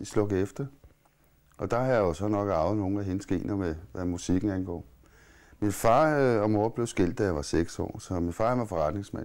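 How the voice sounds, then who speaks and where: Over a quiet background, a man with a fairly low pitch talks at a moderate pace. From Copenhagen, Amager; Copenhagen. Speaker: musician and playwright; interviewee. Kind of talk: interview; interview answer. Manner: halting. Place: home room.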